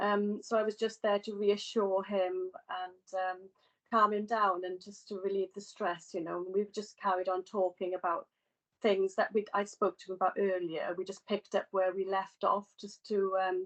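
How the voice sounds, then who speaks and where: In a Welsh accent, a woman speaks at medium pitch and a moderate pace with monotone, flat intonation, in a dry, close sound with no echo. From Wales. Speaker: healthcare student. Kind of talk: testimony. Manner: halting.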